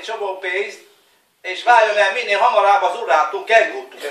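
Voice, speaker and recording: The speech shows ordinary pitch variation, and audible room echo surrounds it. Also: man. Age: 40s. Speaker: family member giving greetings. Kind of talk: New Year greeting video, casual. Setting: home video recorded by family. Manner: halting, repetitive.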